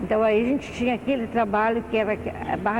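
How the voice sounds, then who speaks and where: Over noticeable background noise and audible room echo, a woman with a fairly high pitch talks at a fairly quick pace in a flat, monotone way. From Brazil, southern Minas Gerais. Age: 60s. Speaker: retired municipal social worker. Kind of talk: oral history interview. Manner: halting.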